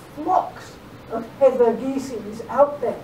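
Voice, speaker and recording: Noticeable background noise and audible room echo surround a woman speaking in an American accent. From England. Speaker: philosophy and law professor. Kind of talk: lecture. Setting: lecture hall with audience.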